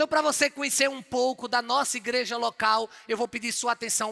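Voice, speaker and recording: Animated and bright, sharp in tone, a man with a northeastern Brazilian accent uses a raised, projected voice at an extremely high pitch, with a dry, close sound and no echo. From Northeast Brazil, João Pessoa, Paraíba. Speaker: pastor. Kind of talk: sermon.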